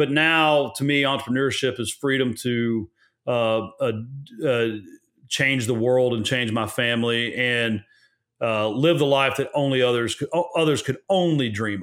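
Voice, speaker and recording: At a medium pitch, a man talks in a normal speaking voice with ordinary pitch variation. His pace is moderate. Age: 40s. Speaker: real estate investor and lender, former Marine. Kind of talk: interview conversation.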